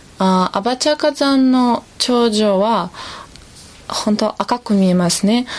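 Speaking at a fairly slow pace in a Russian accent, a woman is heard over noticeable background noise. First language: Russian (speaking Japanese). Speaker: tour guide and interpreter. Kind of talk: recorded field interview. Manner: halting, with many fillers.

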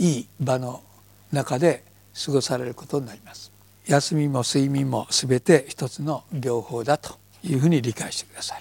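A somewhat breathy man at a fairly high pitch talks at a moderate pace with ordinary pitch variation and big swings in loudness. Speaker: yoga teacher. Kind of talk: lecture.

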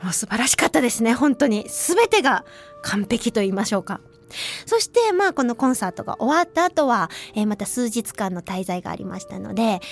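A woman with a fairly high pitch and lively intonation talks at a fairly quick pace, her voice dry and close with no echo, over noticeable background noise. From Hiroshima, western Japan. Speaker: radio host and traditional flute player. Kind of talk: casual radio talk. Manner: chatty, lively.

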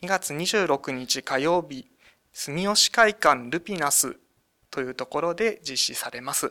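Recorded very cleanly with a silent background and a dry, close sound with no echo, a man with a high pitch speaks at a fairly slow pace, his tone bright and sharp and his intonation lively. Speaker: municipal government staffer. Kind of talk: radio interview.

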